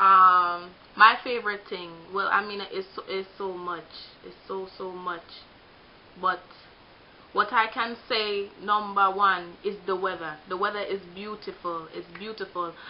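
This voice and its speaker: This woman talks fairly slowly with a Jamaican accent, her medium-pitched voice flat and monotone. Her loudness swings widely, long pauses come often, and background noise is noticeable. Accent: Jamaican accent, kept. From Jamaica, Kingston. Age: 20s. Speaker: vlogger. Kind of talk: casual vlog monologue. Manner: halting, repetitive.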